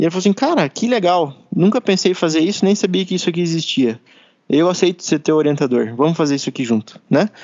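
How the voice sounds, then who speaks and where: Talking at a very fast pace, a man with a high-pitched voice uses lively intonation. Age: 20s. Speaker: engineer and project leader. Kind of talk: casual interview. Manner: relaxed, hesitant fillers.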